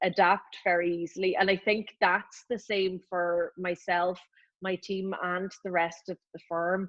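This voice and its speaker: With a Northern Irish accent, a woman of medium pitch talks at a very slow pace. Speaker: lawyer, law firm partner. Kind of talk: casual interview.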